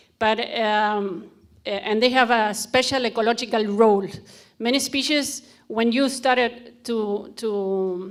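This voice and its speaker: A woman with a Spanish accent talks at a fairly slow pace in a fairly high voice with fairly even intonation, on a very clean recording with a silent background. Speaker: conservationist. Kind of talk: conference presentation. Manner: halting.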